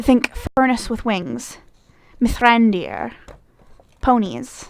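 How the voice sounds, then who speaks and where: With a Midwestern accent, a woman speaks at a fairly high pitch. Her pace is very slow. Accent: Midwestern, said to be like Canadian. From US Midwest, Michigan. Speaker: vlogger. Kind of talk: accent challenge, reading a word list. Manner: casual, hesitant with fillers.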